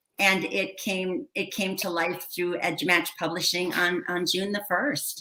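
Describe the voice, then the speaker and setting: A woman's plain, everyday voice in an American accent, fairly slow yet with hardly any pauses, and ordinary pitch variation. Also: medium pitch for a woman. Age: 60s. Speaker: educator and children's author. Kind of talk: casual interview.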